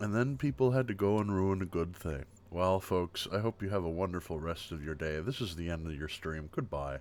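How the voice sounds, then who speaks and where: Relaxed in tone, a man talks at a fairly quick pace with a very deep, low voice. His intonation is lively. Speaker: livestreamer. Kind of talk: casual chat, ASMR-style livestream. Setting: live stream, home desk with webcam. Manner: soft-spoken; relaxed, chill.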